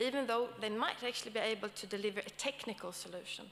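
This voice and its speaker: Speaking fairly quickly in a Swedish accent, a woman uses a fairly high pitch with ordinary pitch variation. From Sweden. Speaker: academic panel moderator. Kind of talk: conference talk. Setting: stage with audience. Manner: hesitant, with many fillers.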